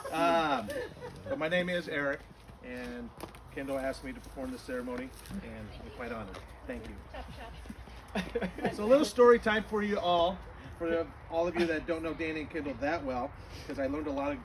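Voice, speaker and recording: A man talks at a fairly quick pace with big swings in loudness and long, frequent pauses, amid audible room echo and noticeable background noise. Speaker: wedding officiant. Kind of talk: wedding ceremony speech. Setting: outdoors in a backyard, also streamed on Zoom.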